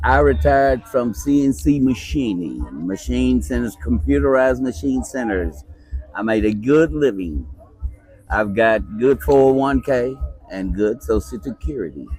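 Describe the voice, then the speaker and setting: With music in the background, a man with a Virginia accent speaks in a very deep, low voice that makes very wide pitch swings. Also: fairly slow pace. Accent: US Southern (Virginia). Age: 70s. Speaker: retired machinist. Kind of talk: interview.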